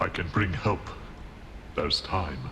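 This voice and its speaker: This is a put-on character voice. Clear background noise sits behind it. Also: man, very deep, low pitch for a man. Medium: short film. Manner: cold, controlled.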